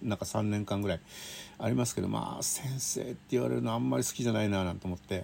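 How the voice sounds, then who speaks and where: The pace is very fast. A man talks at a fairly low pitch. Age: 50s. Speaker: railway writer. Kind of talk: casual monologue. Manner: chatty with laughter.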